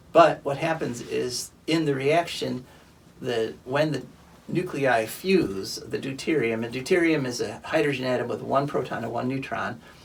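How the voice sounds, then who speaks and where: Here is a normal speaking voice. Its pace is moderate and its pitch variation ordinary. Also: man. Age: 60s. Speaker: environmental radio show host. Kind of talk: casual chat. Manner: conversational, with fillers like uh.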